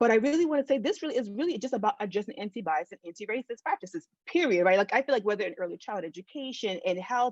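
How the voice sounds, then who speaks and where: In a dry, close sound with no echo, a woman talks at a very fast pace with hardly any pauses, her fairly high pitch making very wide swings in an animated tone. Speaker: keynote speaker, researcher. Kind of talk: keynote talk over video call. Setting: video call.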